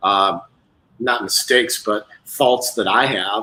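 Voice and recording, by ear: With a bright, sharp tone, a man talks at a fairly low pitch and keeps his intonation fairly even.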